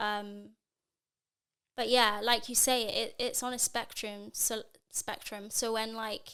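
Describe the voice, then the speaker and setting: A woman's fairly high, bright, sharp voice at a fairly slow pace with monotone, flat intonation, on a very clean recording with a silent background. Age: 20s. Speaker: circus artist. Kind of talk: casual chat.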